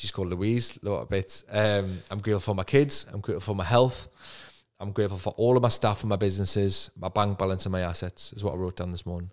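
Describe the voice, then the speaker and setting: With a Geordie accent, a man talks at a very fast pace in a fairly low pitch with fairly even intonation, on a very clean recording with a silent background. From northern England, Newcastle. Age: 30s. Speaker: property investor and coach. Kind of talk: podcast interview.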